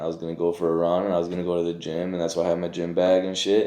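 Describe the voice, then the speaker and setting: Speaking with a Michigan accent, a man uses a very deep, low pitch and a dark, mellow tone, with monotone, flat intonation. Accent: Michigan, Midwestern US. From Pontiac, Michigan. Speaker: formerly incarcerated behavioral health worker. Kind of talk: interview answer. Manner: casual, conversational.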